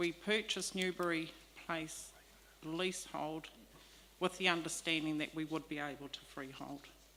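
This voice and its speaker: Soft-spoken and fairly low-pitched, a woman talks with a New Zealand accent. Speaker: leaseholder making a public submission. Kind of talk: public hearing submission. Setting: public hearing with microphone. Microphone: microphone too far, quiet.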